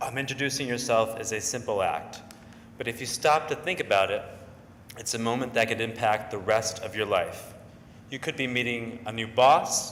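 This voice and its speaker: A man talks at a moderate pace with medium pitch and ordinary pitch variation. There is audible echo in the room. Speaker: advertising creative and stuttering therapy client. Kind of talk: public speech. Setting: stage with audience.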